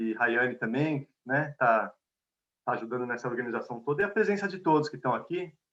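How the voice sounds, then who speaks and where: A man with a medium pitch talks at a fairly quick pace in a São Paulo accent. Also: lively intonation. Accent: São Paulo (paulistano) Portuguese. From Brazil, São Paulo. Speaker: conflict mediator and lecturer. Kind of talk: lecture. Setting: video call. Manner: conversational.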